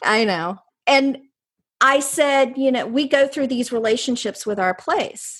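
In a North Carolina accent, a woman with a high pitch speaks at a fairly slow pace with ordinary pitch variation against a quiet background. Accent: Southern US (North Carolina). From North Carolina, US South. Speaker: placemaking researcher and author. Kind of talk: interview conversation.

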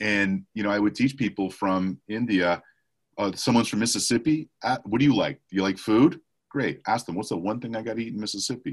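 At a fairly quick pace, a man speaks in a normal speaking voice. His pitch is fairly low, with ordinary pitch variation. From Montreal, Canada. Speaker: sales trainer. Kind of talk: casual interview.

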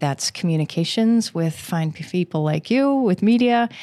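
A woman with an American accent talks at a moderate pace in an unremarkable speaking voice, recorded very cleanly with a silent background and a dry, close sound with no echo. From Western Maryland (Garrett County). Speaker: county planning director. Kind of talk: interview.

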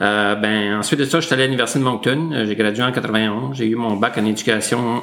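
Using a normal speaking voice, the man talks at a moderate pace and fairly low pitch with ordinary pitch variation. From northwestern New Brunswick, Canada (Saint-André, near Grand-Sault). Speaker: school district director. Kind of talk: interview.

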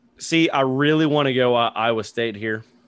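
A man with a normal speaking voice, a moderate pace and ordinary pitch variation. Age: 40s. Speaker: sports podcast host. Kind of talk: casual sports chat. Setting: studio.

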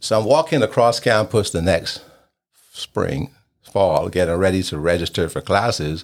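This man's pitch swings very widely as he speaks at a moderate pace. The recording is very clean, with a silent background. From Barbados. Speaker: podcast host. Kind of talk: interview about his own life.

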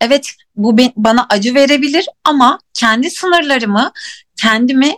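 A woman talks fairly slowly with lively intonation at a high pitch. The sound is dry and close, with no echo. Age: 30s. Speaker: life coach. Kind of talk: casual chat. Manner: halting.

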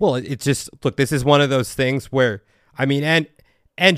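A man's ordinary speaking voice, fairly high in pitch, with ordinary pitch variation and a moderate pace, on a very clean, dry, close recording with a silent background and no echo. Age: 30s. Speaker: podcast host, past life regressionist. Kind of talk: casual chat.

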